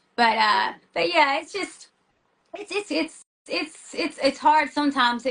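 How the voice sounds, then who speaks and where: A woman speaks in a raised, projected voice with a high pitch, a bright, sharp tone and a Tennessee accent. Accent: Southern US (Tennessee), noticeable. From US South, small-town Tennessee. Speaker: metal band singer and schoolteacher. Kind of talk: casual interview. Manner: fast, many fillers and restarts; animated.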